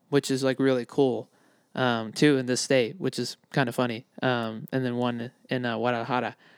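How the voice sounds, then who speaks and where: A man at medium pitch and moderate pace in a flat monotone, on a very clean recording with a silent background. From immigrant to the US. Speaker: soccer fan and podcaster. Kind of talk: casual chat.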